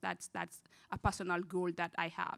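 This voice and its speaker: In a very clean recording with a silent background, a woman with a non-native accent speaks at a fairly low pitch. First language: not English. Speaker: student parent panelist. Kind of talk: panel discussion.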